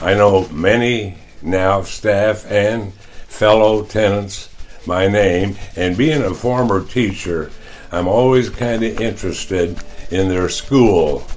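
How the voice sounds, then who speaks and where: A man at a very slow pace, fairly low in pitch with ordinary pitch variation and a Midwestern US accent, amid audible room echo and noticeable background noise. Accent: US Midwest. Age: 90s. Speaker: retired teacher and coach, care home resident. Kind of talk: testimony.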